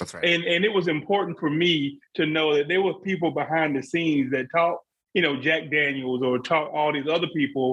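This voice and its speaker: A fairly high-pitched man with a Southern US accent, at a fairly quick pace with ordinary pitch variation. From South Carolina. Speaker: bourbon podcast co-host. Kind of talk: casual chat.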